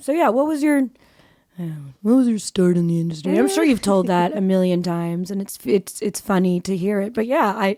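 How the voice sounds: A raspy voice with a dark, mellow tone talks at a moderate pace, its pitch varying in an ordinary way. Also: woman, medium pitch for a woman.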